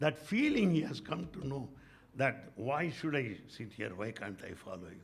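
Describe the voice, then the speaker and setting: Speaking with an Indian accent at a moderate pace, a man has a fairly high pitch, very wide pitch swings and big swings in loudness. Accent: Indian English, Telugu. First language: Telugu. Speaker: spiritual speaker, retired professor. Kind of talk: spiritual talk with anecdotes. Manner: animated.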